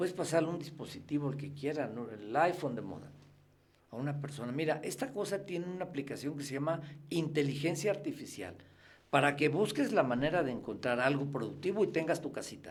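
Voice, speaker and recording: Talking at a fairly quick pace, this man has a fairly high pitch and ordinary pitch variation. He has a Mexican accent, and audible room echo is present. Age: 60s. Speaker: freemason guest. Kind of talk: interview conversation.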